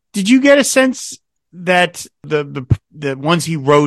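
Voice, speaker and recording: The voice has a bright, sharp tone and an American accent. The sound is dry and close, with no echo. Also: man, very clean recording, silent background. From New Jersey. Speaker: podcast host. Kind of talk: interview.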